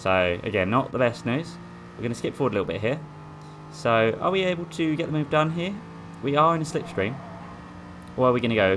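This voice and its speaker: With an Essex accent and a medium pitch, a man talks at a very fast pace, swinging very widely in pitch, leaving long, frequent pauses, over noticeable background noise. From Essex, England. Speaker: sim racing gamer. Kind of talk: gameplay commentary. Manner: casual, hesitant.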